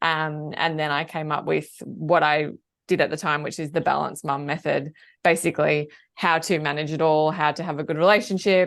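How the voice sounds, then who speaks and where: The speaker has an Australian accent and a monotone, flat intonation at a moderate pace. The background is quiet. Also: woman, very deep, low pitch for a woman. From Australia, Melbourne. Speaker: work-life balance coach. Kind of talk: podcast interview.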